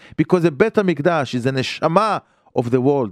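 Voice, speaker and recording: In an Israeli accent, a man with a fairly high pitch speaks at a moderate pace with lively intonation, the sound dry and close with no echo and the recording very clean against a silent background. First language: Hebrew. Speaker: rabbi teaching on radio. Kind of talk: Torah lecture. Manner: halting.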